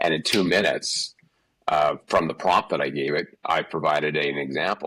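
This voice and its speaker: A man with a Canadian accent speaks at a moderate pace, his pitch very deep and low. His voice has vocal fry, and his intonation is fairly even. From Canada, Calgary. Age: 60s. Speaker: executive leadership coach. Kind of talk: interview. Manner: halting, many repetitions and fillers.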